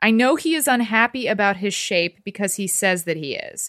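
With an American accent and an ordinary speaking voice, a woman talks at a moderate pace and medium pitch in a dry, close sound with no echo. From Texas. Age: 30s. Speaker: TV personality and author. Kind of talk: casual chat; reading aloud.

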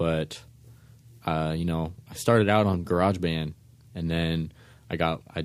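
A man with an American accent, very deep and low in pitch, at a moderate pace. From San Francisco, US West Coast. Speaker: electronic musician. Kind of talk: interview. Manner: calm.

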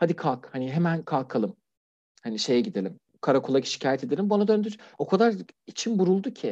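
Speaking at a fairly quick pace, a man with a slight non-native accent has a high pitch, a dark, mellow tone and very wide pitch swings. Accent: near-native Turkish, little foreign. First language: Persian (speaking Turkish). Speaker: LGBT+ refugee, anonymous guest. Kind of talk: interview testimony. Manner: formal; hesitant, many fillers.

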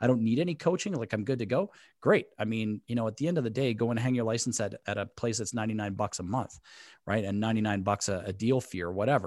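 Speaking at a medium pitch, a man races along at a very fast pace. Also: very clean recording, silent background. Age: 40s. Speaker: podcast host, real estate broker. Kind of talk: interview.

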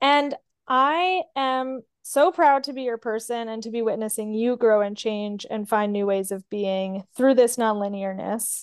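A woman's fairly slow, fairly high voice with ordinary pitch variation, big swings in loudness and hardly any pauses, in a dry, close sound with no echo and a quiet background. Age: 30s. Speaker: podcast host. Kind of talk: casual chat. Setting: home recording.

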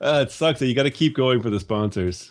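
A man talks with ordinary pitch variation. He has an ordinary speaking voice. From Canada. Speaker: podcast host. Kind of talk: casual chat. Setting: video call.

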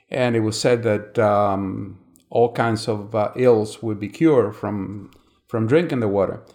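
With a Spanish accent, a man speaks at a fairly slow pace, his fairly low pitch carrying fairly even intonation. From Cuba. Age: 70s. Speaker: retired insurance agent. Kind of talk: interview.

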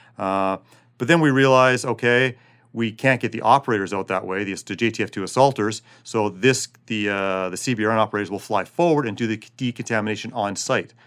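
Here is a man with a plain, everyday voice at a medium pitch. He talks at a fairly quick pace with ordinary pitch variation, on a very clean recording with a silent background. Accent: Canadian. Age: 40s. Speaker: special forces soldier. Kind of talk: interview.

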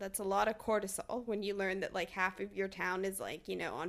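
This woman's voice sits at a medium pitch and has a bubbly tone. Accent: American. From Texas. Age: 20s. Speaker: fine artist. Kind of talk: casual chat. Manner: animated, lots of pitch variation.

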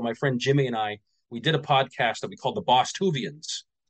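This man talks at a fairly quick pace. His pitch sits in the medium range with ordinary variation. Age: 40s. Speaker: former fitness coach in multi-level marketing. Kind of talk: casual interview chat. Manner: halting, many repetitions and fillers.

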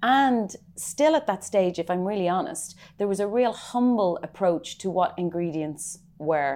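Lively intonation from a woman in a Dublin accent, medium in pitch with a dark, mellow tone at a fairly slow pace. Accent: Irish (Dublin). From Ireland, Dublin. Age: 30s. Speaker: chef and restaurant owner. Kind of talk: interview. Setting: in her restaurant.

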